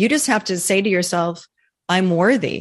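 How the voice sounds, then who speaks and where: A woman at medium pitch, ordinary pitch variation, moderate pace. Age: 50s. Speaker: midlife women's coach. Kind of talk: interview. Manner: animated.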